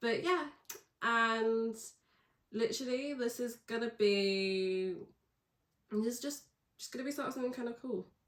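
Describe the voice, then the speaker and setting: A woman's fairly high voice with ordinary pitch variation, at a moderate pace. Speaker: podcaster, university student. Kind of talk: casual monologue. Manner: rambling.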